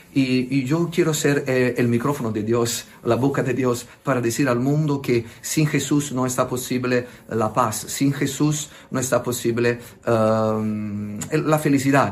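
A man with an Italian accent, medium in pitch and very slow, with very even loudness and fairly even intonation. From southern Italy, Naples. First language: Italian (speaking Spanish). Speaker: priest. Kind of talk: interview. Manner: halting.

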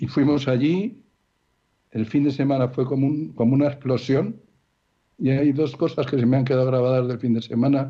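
With long, frequent pauses, a man speaks at a moderate pace in a dark, mellow tone of medium pitch, his loudness very even throughout. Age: 70s. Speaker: marriage support program volunteer. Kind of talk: radio interview with personal testimony.

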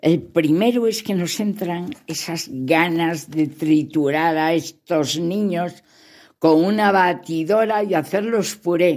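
Against a silent background on a very clean recording, a woman speaks very slowly at a fairly low pitch with ordinary pitch variation. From León, Spain. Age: 70s. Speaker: grandmother. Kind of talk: recorded talk to children.

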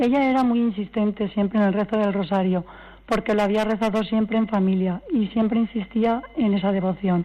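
A woman's medium-pitched voice with a dark, mellow tone, fairly even intonation and a moderate pace. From Valencia region, Spain. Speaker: granddaughter of a couple in beatification process. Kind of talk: radio interview.

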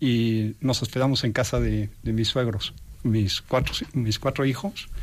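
A man with a Mexican accent speaks at a fairly slow pace on a very clean recording with a silent background. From Mexico. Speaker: entrepreneur, industrial engineer. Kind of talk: interview testimony. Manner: halting, repeats words.

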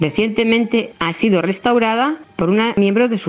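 Over noticeable background noise, a woman speaks at a moderate pace in a medium pitch with lively intonation. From Spain, La Mancha (Montiel). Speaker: historian and former town councillor. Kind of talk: prepared historical narration.

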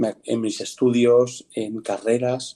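A man's voice sits at medium pitch with a dark, mellow tone. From Spain, Madrid region (Pinto). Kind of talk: interview testimony. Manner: halting, with many fillers.

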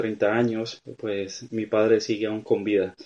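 There is a dark, mellow tone to this man's voice. The background is quiet. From Venezuela, small town on the Colombian border. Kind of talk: testimony. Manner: halting, many fillers.

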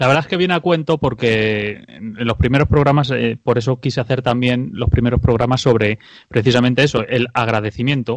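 Using an unremarkable speaking voice, a man talks fairly quickly with hardly any pauses, at a medium pitch with ordinary pitch variation. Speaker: radio host. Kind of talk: radio talk show.

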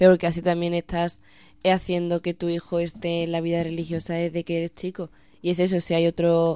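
A woman's dark, mellow voice at a fairly low pitch, flat and monotone at a fairly quick pace, on a very clean recording with a silent background and a dry, close sound with no echo. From Spain, Badajoz. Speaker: university student. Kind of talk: radio panel discussion.

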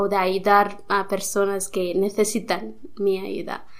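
Audible room echo surrounds a woman's medium-pitched voice. She speaks at a very slow pace. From India. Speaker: nun. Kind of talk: interview. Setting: studio. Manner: halting.

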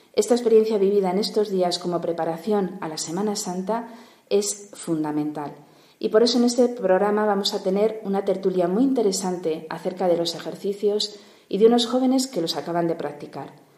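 A woman at a medium pitch and a fairly quick pace, with ordinary pitch variation and noticeable background noise. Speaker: radio host. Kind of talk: radio show interview. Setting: studio.

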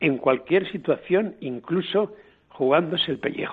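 A man speaks in an ordinary speaking voice, fairly high-pitched, with lively intonation. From Spain, Guadalajara province. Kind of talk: storytelling biography.

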